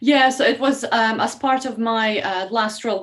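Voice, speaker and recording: Noticeable background noise behind a woman's fairly high voice. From Estonia. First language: Russian. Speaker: learning and development specialist. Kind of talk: podcast interview. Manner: halting, many fillers.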